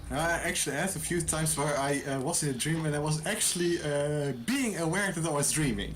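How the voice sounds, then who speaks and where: A fairly quick delivery with a slight Dutch accent and hardly any pauses, set against noticeable background noise. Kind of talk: casual chat.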